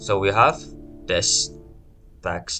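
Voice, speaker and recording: A man speaks over music playing in the background. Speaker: student. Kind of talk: coding tutorial walkthrough. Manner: hesitant, stuttering.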